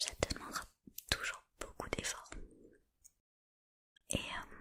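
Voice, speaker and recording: The pace is very slow. A woman whispers throughout. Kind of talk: ASMR motivational talk. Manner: whispered; casual, encouraging.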